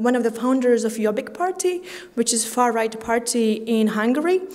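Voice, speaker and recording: A woman with a fairly high pitch is heard through audible room echo and noticeable background noise. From Latvia, Riga. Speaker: conference speaker, graduate student. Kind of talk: conference talk. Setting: stage with audience. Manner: halting, many fillers.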